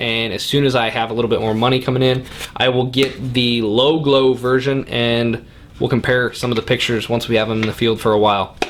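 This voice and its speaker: Through noticeable background noise, a man speaks at a fairly quick pace with fairly even intonation. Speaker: hunting channel host reviewing gear. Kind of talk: product review and unboxing. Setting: basement man cave, indoors.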